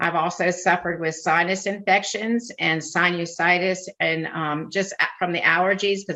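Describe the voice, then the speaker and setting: A woman with a fairly low pitch speaks at a moderate pace in an unremarkable speaking voice. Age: 60s. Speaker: retired nurse. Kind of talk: testimony.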